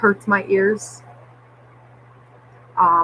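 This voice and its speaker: A woman's medium-pitched voice, with ordinary pitch variation, comes through noticeable background noise. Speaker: vlogger. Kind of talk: personal vlog update. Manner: slurred at times.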